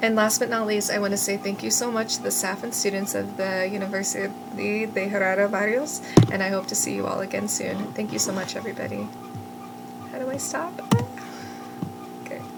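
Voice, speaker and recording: With noticeable background noise and audible room echo, a woman speaks at a fairly quick pace broken by long, frequent pauses. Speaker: student teacher. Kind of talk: class presentation. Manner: fast when excited; hesitant, many fillers.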